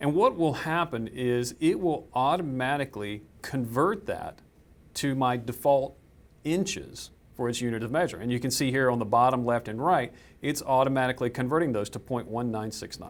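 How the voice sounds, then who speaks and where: A man's medium-pitched voice in a Southern US accent, with ordinary pitch variation at a moderate pace, on a very clean recording with a silent background. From US South. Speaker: software trainer. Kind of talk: tutorial.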